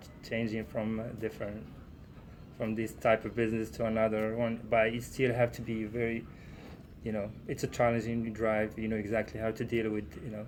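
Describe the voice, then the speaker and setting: A man with a non-native accent speaks at a moderate pace and medium pitch in a monotone, flat intonation. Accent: foreign. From Morocco. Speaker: trucking student driver. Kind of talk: casual interview chat. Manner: halting, many fillers.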